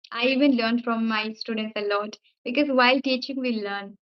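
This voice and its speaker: The intonation is monotone and flat. The speaker has an Indian accent. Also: woman. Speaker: English teacher and YouTuber. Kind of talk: casual chat. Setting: video call.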